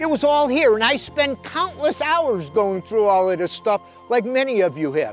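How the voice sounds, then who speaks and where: Over faint background music, a high-pitched man swings his pitch very widely in a dry sound with no echo. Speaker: fishing show host and inspirational speaker. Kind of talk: inspirational sermon-style talk to camera. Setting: shot indoors in his library with books around him. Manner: conversational, earnest, with frequent filler words. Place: garden.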